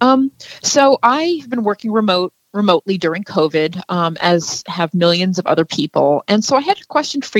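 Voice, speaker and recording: At a moderate pace, a woman talks in a plain, everyday voice with ordinary pitch variation, the sound dry and close with no echo. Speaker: caller. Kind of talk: call-in radio question.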